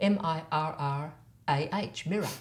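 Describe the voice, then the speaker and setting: A woman speaks in an Australian accent with audible room echo. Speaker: voice and accent coach. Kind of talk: tutorial.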